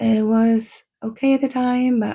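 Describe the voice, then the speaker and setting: The recording is very clean, with a silent background. A woman is speaking. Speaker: podcaster, former teacher. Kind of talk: personal storytelling.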